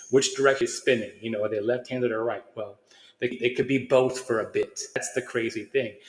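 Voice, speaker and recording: A man at a medium pitch talks at a fairly quick pace in a monotone, flat intonation. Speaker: channel host discussing consciousness science. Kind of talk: casual solo monologue. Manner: fast; halting, frequent restarts.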